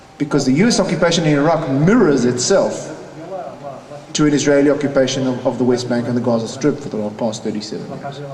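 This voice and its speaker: Amid noticeable background noise and audible room echo, a man with a South African accent talks very fast at a fairly high pitch with ordinary pitch variation. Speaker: peace activist and conference panelist. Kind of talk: conference panel talk.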